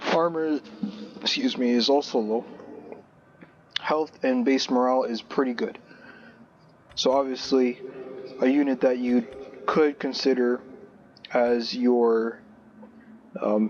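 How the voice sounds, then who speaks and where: Pausing long and often, a man speaks at a fairly slow pace and medium pitch with fairly even intonation. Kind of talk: gaming video commentary. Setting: low-quality headphone microphone. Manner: casual, hesitant with fillers.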